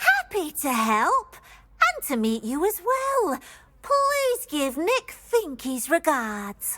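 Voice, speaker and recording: A female-sounding put-on character voice, extremely high-pitched with very wide pitch swings, at a very slow pace on a very clean recording with a silent background. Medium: video game. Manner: refers to herself in third person.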